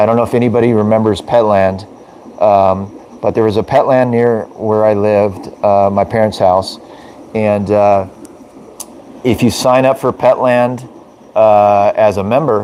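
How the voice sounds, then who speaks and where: A man at a fairly slow pace, fairly low in pitch, with fairly even intonation and noticeable background noise. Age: 40s. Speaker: aquarium fish breeder and live streamer. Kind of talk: casual live stream chat. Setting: live video stream. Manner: hesitant, many fillers.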